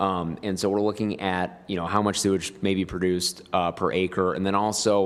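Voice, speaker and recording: The delivery is monotone and flat in intonation, with hardly any pauses. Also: man, very deep, low pitch for a man. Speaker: planning consultant. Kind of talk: meeting presentation. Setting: public meeting room. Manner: fast; hesitant, many fillers.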